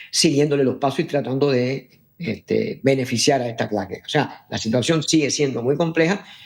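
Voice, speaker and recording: A man with a fairly high pitch speaks at a moderate pace, showing ordinary pitch variation. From Cuba. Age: 60s. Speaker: diplomat. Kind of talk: political interview. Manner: halting with many fillers.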